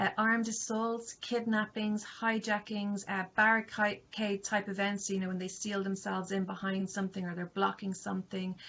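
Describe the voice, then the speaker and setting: A woman with an Irish accent and a medium pitch speaks at a moderate pace in a monotone, flat intonation. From Ireland. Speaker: university lecturer. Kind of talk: lecture. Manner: hesitant, many fillers.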